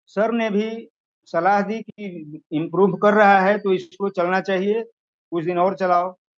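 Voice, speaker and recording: A man speaks at a high pitch. His intonation stays fairly even. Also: hardly any pauses. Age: 60s. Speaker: product user giving testimonial. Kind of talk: testimony.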